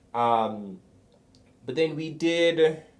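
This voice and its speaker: This man's voice is fairly high-pitched. Its pitch variation is ordinary. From Jamaica. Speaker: former pro athlete, startup worker. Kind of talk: casual consultation interview. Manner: hesitant, many fillers.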